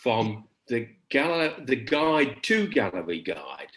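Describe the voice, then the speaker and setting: Over a quiet background, a man with a fairly high pitch uses very wide pitch swings and vocal fry. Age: 70s. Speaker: performance artist. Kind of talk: conversation about his artwork. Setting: video call. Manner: halting, many repetitions.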